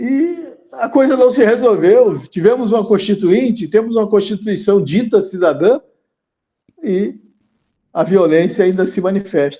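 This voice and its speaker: This man's voice has a dark, mellow tone and a high pitch. His intonation is lively, and he talks at a fairly slow pace. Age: 70s. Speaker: journalist. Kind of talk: interview.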